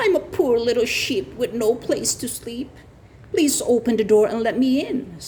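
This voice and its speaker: A put-on character voice sounds female and high-pitched, delivered at a moderate pace. Background noise is clearly heard. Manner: sweet, coaxing.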